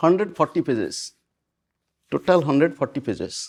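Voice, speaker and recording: Fairly high male voice with vocal fry and a dry, close sound with no echo. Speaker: spiritual teacher. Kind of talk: spiritual discourse to an audience.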